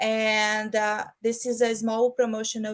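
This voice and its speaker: A woman with a Brazilian Portuguese accent speaks at a fairly high pitch. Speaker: project manager. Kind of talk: online presentation. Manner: halting, with fillers.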